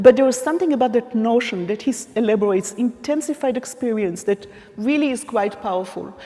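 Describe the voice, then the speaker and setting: Pitch varies in an ordinary way. Background noise is noticeable throughout. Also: woman, fairly high pitch for a woman. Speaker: academic keynote speaker. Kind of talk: conference keynote lecture. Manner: deliberately slow, trying not to speak fast.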